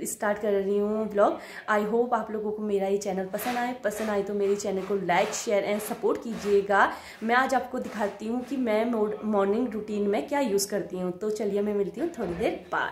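A woman speaks at a fairly slow pace with hardly any pauses, using a medium pitch and fairly even intonation. Light background noise and audible room echo are present. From Uttarakhand, Nainital district (Kotabagh); Uttarakhand. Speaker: vlogger. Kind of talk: casual vlog narration. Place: home room. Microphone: phone near.

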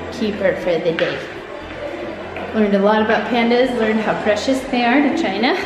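A woman's voice amid loud background noise and audible room echo. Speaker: travel vlogger. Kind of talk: casual vlog chat. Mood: reflective, pleased. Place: hall. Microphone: phone near.

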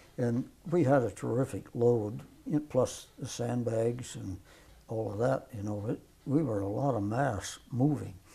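Speaking at a fairly slow pace, a man has a dark, mellow tone with vocal fry and ordinary pitch variation. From US Midwest, south central Nebraska. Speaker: World War II veteran. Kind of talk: elderly veteran's plainspoken wartime recollection in an oral history interview. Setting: filmed interview with microphone. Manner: halting, rambling with fillers and restarts; matter-of-fact, folksy with occasional laughs. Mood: reflective, calm. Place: home room. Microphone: lapel.

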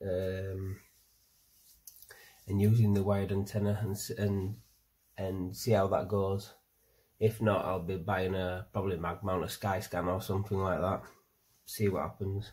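Long, frequent pauses break up a moderate pace. The delivery is somewhat breathy and monotone, with flat intonation. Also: man. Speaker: hobbyist reviewer. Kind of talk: casual product review. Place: home room. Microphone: phone near.

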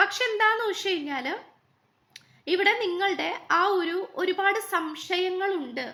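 This raised, projected voice has a bright, sharp tone and ordinary pitch variation. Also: woman. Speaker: tarot card reader. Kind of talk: tarot reading monologue.

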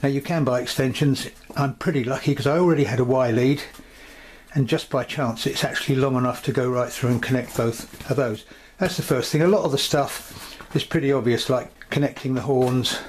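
A man speaks at a fairly quick pace with very even loudness. Light background noise can be heard. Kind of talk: tutorial. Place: home room.

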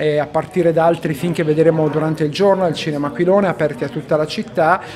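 A man speaking with ordinary pitch variation over noticeable background noise. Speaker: priest. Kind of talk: interview answer. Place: meeting room. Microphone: handheld.

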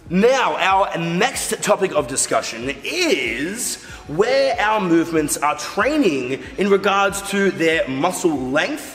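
A man's voice over faint music in the background. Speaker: fitness coach. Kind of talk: tutorial. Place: studio.

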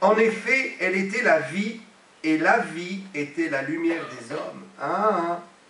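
A man's high-pitched voice with lively intonation at a very slow pace, with audible room echo and light background noise. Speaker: pastor. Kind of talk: sermon, emphatic preaching with repeated phrases and amens. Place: church. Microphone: podium.

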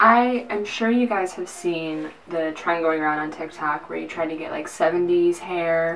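Light background noise behind a woman talking. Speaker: vlogger. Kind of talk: casual vlog chat. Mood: playful, sarcastic. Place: bathroom. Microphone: camera far.

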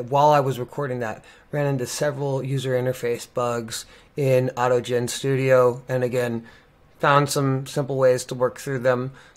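A man's monotone voice with flat intonation. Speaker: presenter. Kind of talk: tutorial. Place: home room.

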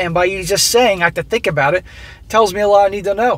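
The sound is dry with no echo as a man speaks at a high pitch. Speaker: commentator reading a story. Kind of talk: reading a story aloud and commenting on it. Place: car. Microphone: phone near.

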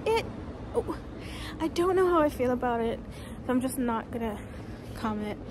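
This woman keeps a moderate pace. Behind her, background noise is noticeable. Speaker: vlogger. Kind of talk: casual vlog chat. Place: street. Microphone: phone near.

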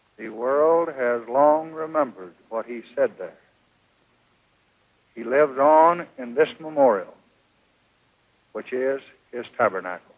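A man speaks at a fairly slow pace with ordinary pitch variation. His loudness swings a lot against a quiet background. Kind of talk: memorial speech. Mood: solemn, mournful.

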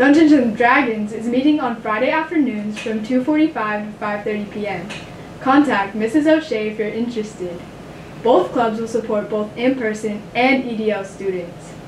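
A woman at a fairly slow pace with ordinary pitch variation, audible room echo and light background noise. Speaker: student news anchor. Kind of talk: school announcements. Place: studio.

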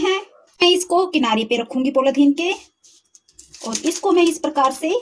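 This woman has a high-pitched voice and lively intonation. She talks at a moderate pace over light background noise. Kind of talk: cooking tutorial. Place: kitchen.

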